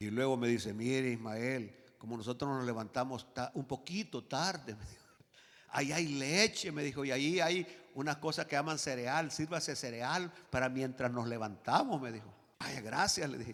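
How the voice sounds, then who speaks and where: A man's medium-pitched, animated voice at a moderate pace, with ordinary pitch variation. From rural Latin America. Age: 60s. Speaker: pastor. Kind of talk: sermon. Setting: church.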